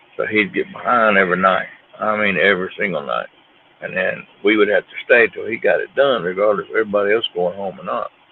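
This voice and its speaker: The speech comes at a very fast pace with big swings in loudness, set against noticeable background noise. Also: man. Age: 40s. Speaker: fishing livestreamer. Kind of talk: casual chat.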